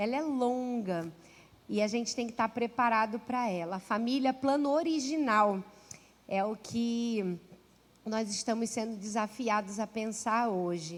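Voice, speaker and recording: A woman with a Rio de Janeiro accent talks fairly slowly in a warm tone at a fairly high pitch, with ordinary pitch variation. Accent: carioca. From Rio de Janeiro, Brazil. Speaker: pastor and author. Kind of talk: sermon. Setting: church. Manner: warm, conversational.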